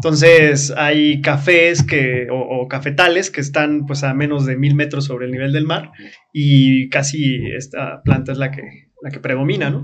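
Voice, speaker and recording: A man with a fairly high voice speaks fairly slowly in a flat monotone, his loudness swinging widely, amid noticeable background noise and audible room echo. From Chiapas, Mexico (Comitán). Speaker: experiential tourism operator. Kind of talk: casual interview.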